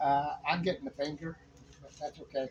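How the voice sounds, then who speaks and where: With ordinary pitch variation, a man's speech keeps a moderate pace. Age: 60s. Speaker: home renovation vlogger. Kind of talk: casual DIY video narration. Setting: at home during renovation. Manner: rambling with many fillers.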